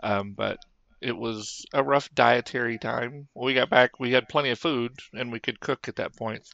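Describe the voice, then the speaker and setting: A man's medium-pitched voice, an ordinary speaking voice, at a moderate pace with fairly even intonation. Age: 50s. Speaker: podcast co-host. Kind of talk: casual chat.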